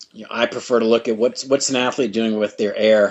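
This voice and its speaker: With an American accent, the speaker uses an unremarkable speaking voice at a fairly quick pace. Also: man. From United States. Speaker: triathlon and swim coach. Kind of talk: podcast interview. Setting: remote call.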